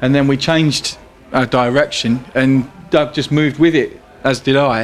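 A man with a London accent speaks at a medium pitch and a fairly slow pace, his intonation fairly even. Noticeable background noise runs beneath him. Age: 30s. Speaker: blues guitarist and bandleader. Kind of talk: casual interview.

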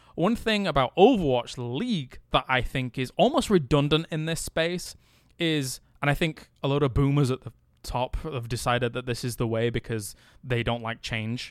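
A man with an English accent speaks at a moderate pace and fairly high pitch with lively intonation, on a very clean recording with a silent background. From England. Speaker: esports host. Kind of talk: casual chat. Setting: hotel room.

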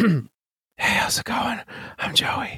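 A raspy, put-on character voice whispers quietly. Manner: whispering, very quiet.

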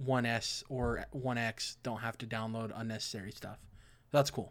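A plain, everyday voice with fairly even intonation comes through a very clean recording with a silent background. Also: man. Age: 20s. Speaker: video game podcast host. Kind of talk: casual chat.

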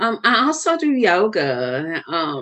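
A woman of medium pitch speaks with a Southern US accent. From US South. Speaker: wellness coach and author. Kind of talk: casual interview.

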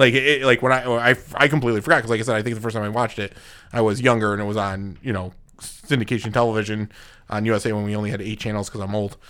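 Recorded very cleanly against a silent background, a man speaks at a fairly low pitch with fairly even intonation. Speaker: podcast co-host. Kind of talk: casual chat. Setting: studio.

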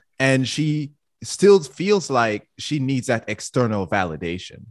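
A man with a Jamaican accent speaks at a medium pitch against a quiet background. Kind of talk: casual chat.

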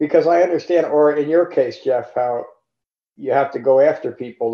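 Here is a man with an ordinary speaking voice. He keeps a moderate pace and ordinary pitch variation. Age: 60s. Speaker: meditation teacher. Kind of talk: dharma talk. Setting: video call.

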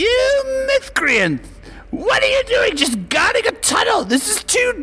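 In a put-on character voice at an extremely high pitch, the speaker goes fairly slowly over light background noise. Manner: frantic, indignant.

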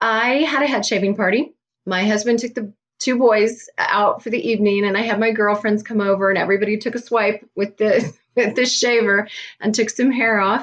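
A woman speaks with a Midwestern US accent at a fairly high pitch. Her intonation is fairly even and her pace moderate. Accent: US Midwest. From Kansas. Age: 50s. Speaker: cancer patient and health coach. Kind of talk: interview.

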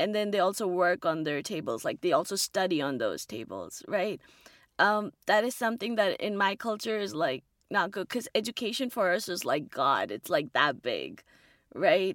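With vocal fry and lively intonation, the voice comes through dry and close with no echo on a very clean recording with a silent background. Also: woman, medium pitch for a woman, moderate pace. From India. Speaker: graduate student. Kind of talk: interview.

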